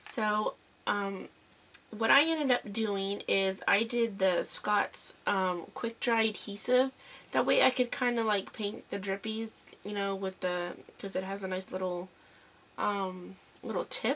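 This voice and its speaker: Speaking at a fairly slow pace, a woman has a medium-pitched voice with a bright, sharp tone and ordinary pitch variation. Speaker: mixed media crafter. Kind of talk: craft tutorial. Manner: casual, hesitant with many fillers.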